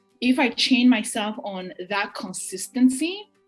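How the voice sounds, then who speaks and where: A woman's fairly high voice with ordinary pitch variation, music playing in the background. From Burundi. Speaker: writer, poet, mental health advocate. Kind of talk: interview answer.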